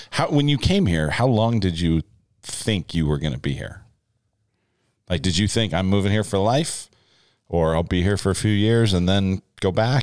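A man speaks with a very deep, low pitch and lively intonation at a moderate pace. His speech has long, frequent pauses. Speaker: pastor and podcast host. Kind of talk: casual chat. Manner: loud.

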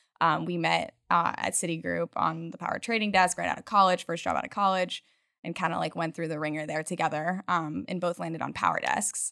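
Vocal fry runs through this woman's American accent, and her pitch varies in an ordinary way. The sound is dry and close with no echo, on a very clean recording with a silent background. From Utah. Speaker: startup co-founder. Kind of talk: interview.

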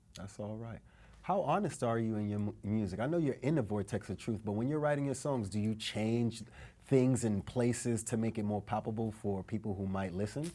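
A man's medium-pitched voice, dark and mellow in tone, at a fairly quick pace with ordinary pitch variation. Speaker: podcast host. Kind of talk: casual interview. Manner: upbeat, energetic.

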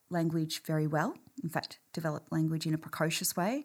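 A fairly low-pitched woman at a moderate pace, on a very clean recording with a silent background. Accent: Australian. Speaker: clinical psychology professor and researcher. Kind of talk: interview.

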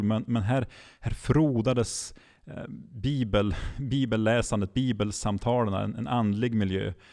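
A man goes fairly slowly at medium pitch, with normal rise and fall in his voice. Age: 30s. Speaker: regional church mission leader. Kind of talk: podcast interview. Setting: live recording in front of an audience. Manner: halting, many repeated words.

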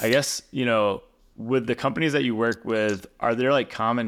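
In an ordinary speaking voice, a man talks at a moderate pace, his pitch varying in an ordinary way. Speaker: podcast host. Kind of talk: casual interview conversation.

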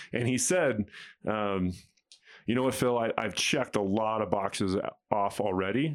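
On a very clean recording with a silent background, the speaker keeps a moderate pace, very even loudness and ordinary pitch variation, with long, frequent pauses. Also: man, fairly low pitch for a man. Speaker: podcast host. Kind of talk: casual chat.

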